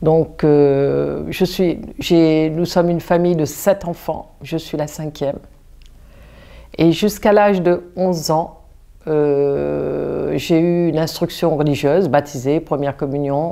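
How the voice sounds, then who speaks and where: This woman talks very slowly in a very deep, low pitch with fairly even intonation. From Réunion. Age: 60s. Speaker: parishioner giving faith testimony. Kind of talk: testimony. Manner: halting, with many restarts and fillers.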